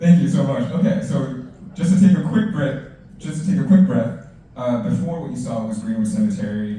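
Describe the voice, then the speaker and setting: Over noticeable background noise and audible room echo, a man speaks at a fairly quick pace in a high voice with very wide pitch swings. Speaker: city council staff panelist. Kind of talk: career panel presentation. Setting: library event with audience. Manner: fast.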